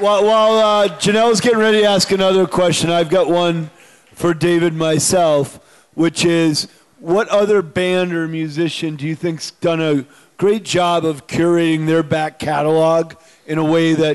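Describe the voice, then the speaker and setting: A man with an American accent speaks at a high pitch with fairly even intonation. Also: moderate pace. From Western Massachusetts; Massachusetts. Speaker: brewery founder hosting event. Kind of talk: live event hosting. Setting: stage with audience. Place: stage. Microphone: handheld.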